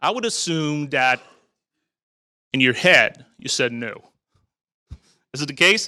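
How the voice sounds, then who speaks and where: Speaking fairly slowly with long, frequent pauses, a man uses a bright, sharp tone and a fairly high pitch, sounding animated with lively intonation. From Quebec, Montreal. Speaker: technical evangelist, conference speaker. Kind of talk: conference talk. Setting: stage with audience.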